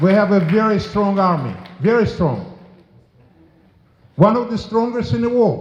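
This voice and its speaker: A man's voice at a moderate pace, with noticeable background noise and audible room echo. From former Soviet Union. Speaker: politician. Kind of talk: memorial speech. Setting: memorial service with audience. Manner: forceful.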